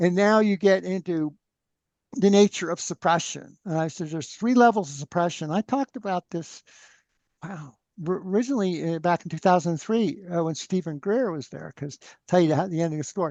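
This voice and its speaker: A man's high-pitched voice with ordinary pitch variation, dry and close with no echo, over a quiet background. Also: fairly quick pace. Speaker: free energy researcher. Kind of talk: interview conversation. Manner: loud; animated.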